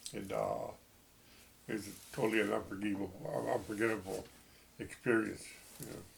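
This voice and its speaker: Audible room echo surrounds a man speaking with an American accent. He keeps a moderate pace broken by long, frequent pauses. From Texas. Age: 70s. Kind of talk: personal testimony. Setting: at home. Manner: halting.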